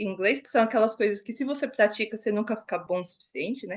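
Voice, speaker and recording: Against a quiet background, a woman speaks at fairly high pitch with ordinary pitch variation, an ordinary speaking voice. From Brazil, São Paulo city. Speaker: master's student. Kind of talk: podcast interview.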